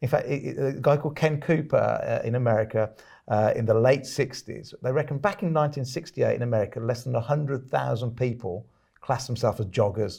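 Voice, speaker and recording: Speaking at a fairly quick pace, a man with a British accent sounds somewhat breathy. His tone is dark and mellow, with ordinary pitch variation. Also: medium pitch for a man. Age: 50s. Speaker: podcast host and author. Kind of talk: interview.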